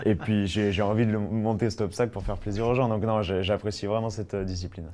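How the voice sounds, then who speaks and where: Speaking at a very fast pace, a man keeps a monotone, flat intonation at a fairly low pitch. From Savoie, France. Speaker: trial rider. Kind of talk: interview.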